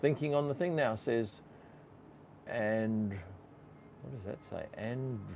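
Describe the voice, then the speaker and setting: A man speaks with an Australian accent at a medium pitch. His pace is fairly slow. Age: 60s. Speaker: F1 photographer and YouTuber. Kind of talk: live stream Q&A chat. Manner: casual, conversational.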